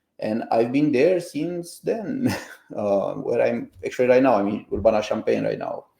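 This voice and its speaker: At a moderate pace, a man talks in a Romanian accent. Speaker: computer science professor and founder. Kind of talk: interview podcast.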